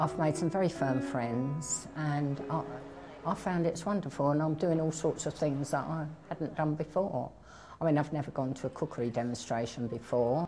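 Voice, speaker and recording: Over music in the background, a woman with a very deep, low pitch speaks at a moderate pace. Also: ordinary pitch variation. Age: 70s. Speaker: timebank member. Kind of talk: interview testimony. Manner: hesitant, many ums.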